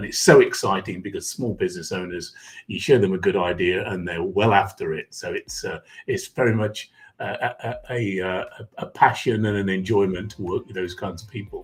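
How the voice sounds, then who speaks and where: A man speaks in an English accent, his loudness swinging widely. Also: moderate pace. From England, Derbyshire (East Midlands). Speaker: executive coach. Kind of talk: podcast interview.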